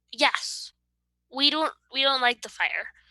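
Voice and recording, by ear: Using a put-on character voice, a woman speaks slowly at a high pitch with a bright, sharp tone, ordinary pitch variation, and a dry, close sound with no echo.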